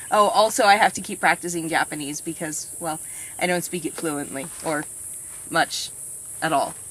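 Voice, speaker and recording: This voice has a bright, sharp tone and an American accent. The pace is moderate. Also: woman. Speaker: vlogger. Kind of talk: casual interview. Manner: loud.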